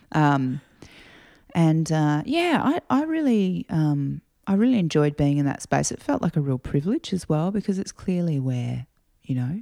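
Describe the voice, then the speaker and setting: In an Australian accent, a woman talks at a moderate pace, the sound dry and close with no echo. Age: 40s. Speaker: singer-songwriter. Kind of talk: casual interview chat. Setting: at home.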